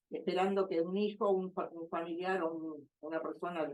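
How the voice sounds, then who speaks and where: A woman's dark, mellow tone, fairly low in pitch, with fairly even intonation at a moderate pace. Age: 80s+. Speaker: older adult giving testimony. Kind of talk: testimony. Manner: halting.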